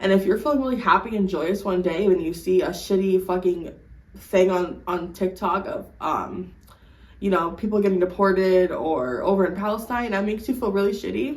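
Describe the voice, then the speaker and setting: A woman's medium-pitched voice at a moderate pace with ordinary pitch variation, amid audible room echo and noticeable background noise. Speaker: lifestyle vlogger. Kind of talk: casual advice monologue. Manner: stutters when unsure; animated, swears a lot.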